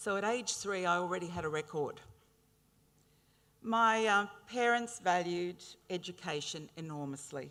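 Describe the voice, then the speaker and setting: At a moderate pace, a woman with an Australian accent and a fairly low pitch speaks in a bright, sharp tone with ordinary pitch variation and long, frequent pauses. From Brisbane, Australia. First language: Italian. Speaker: honorary graduate speaker. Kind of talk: ceremonial speech. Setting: graduation ceremony with audience. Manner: hesitant fillers.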